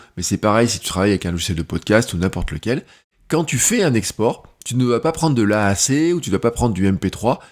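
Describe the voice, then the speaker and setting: On a very clean recording with a silent background, a man at medium pitch speaks with very wide pitch swings. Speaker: content creator and podcaster. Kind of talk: tutorial. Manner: loud at first then quieter; casual, hesitant with fillers.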